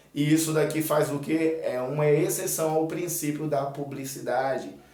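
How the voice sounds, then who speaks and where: Talking fairly slowly, a man is heard. The room echoes audibly, and background noise is noticeable. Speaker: exam prep teacher. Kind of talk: tutorial.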